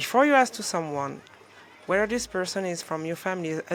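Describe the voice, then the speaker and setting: The speaker has a French accent and moves at a fairly quick pace. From France. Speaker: motivational coach. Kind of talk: motivational talk to camera. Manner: animated; halting.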